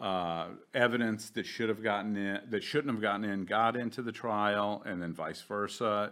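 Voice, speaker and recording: A man with fairly low pitch and fairly even intonation at a moderate pace with hardly any pauses, in a very clean recording with a silent background. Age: 50s. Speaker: attorney. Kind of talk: interview. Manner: halting, many restarts.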